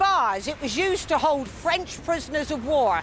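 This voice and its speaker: Noticeable background noise sits behind a woman's voice. Her pitch is extremely high, and her intonation lively. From Southampton, England. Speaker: local history guide. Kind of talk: guided walking tour to camera. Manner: down-to-earth, unpretentious.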